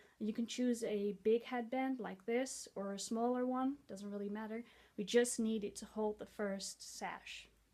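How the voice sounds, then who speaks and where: Speaking fairly slowly in a Dutch accent, a woman has a fairly high pitch, a dark, mellow tone and monotone, flat intonation. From Netherlands. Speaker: head-wrap tutorial vlogger. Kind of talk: tutorial.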